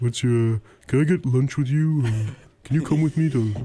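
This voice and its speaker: A man puts on a character voice at a medium pitch. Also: moderate pace. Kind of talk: casual student talk. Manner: casual, rambling, hesitant.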